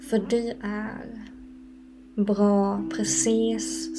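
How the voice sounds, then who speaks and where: The woman talks very slowly. Music can be heard behind her. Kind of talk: guided meditation. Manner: slow, soft-spoken, calm and soothing with long pauses; gentle, warm and inviting, unhurried.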